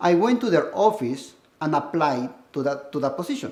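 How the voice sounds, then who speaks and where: In a Peruvian accent, a man with a high pitch talks at a moderate pace. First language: Spanish. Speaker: school administrator and educator. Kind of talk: personal testimony.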